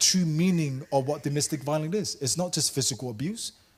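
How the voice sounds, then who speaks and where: With a Samoan accent, a man talks at a fairly quick pace. His voice is somewhat breathy, with ordinary pitch variation. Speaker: workshop presenter. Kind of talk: workshop talk. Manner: animated.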